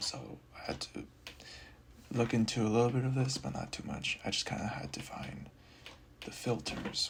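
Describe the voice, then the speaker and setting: Someone whispers at a moderate pace with long, frequent pauses as noticeable background noise runs underneath. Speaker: programming tutorial creator. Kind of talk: screen-recorded coding walkthrough. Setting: at home late at night. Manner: whispering; halting, many fillers. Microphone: audio quality may be poor.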